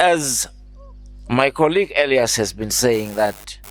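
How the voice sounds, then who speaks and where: A man speaks at a very slow pace with lively intonation. The recording is very clean, with a silent background. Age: 60s. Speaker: alumni association chairman. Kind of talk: speech to students.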